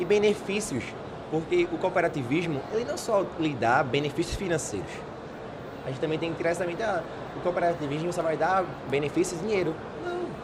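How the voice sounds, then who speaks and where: A man talks at a fairly quick clip with a high pitch and ordinary pitch variation, broken by long, frequent pauses. Noticeable background noise and audible room echo surround his voice. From Pernambuco, Brazil (Paulista). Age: 20s. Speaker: young community leader. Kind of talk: interview. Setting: studio.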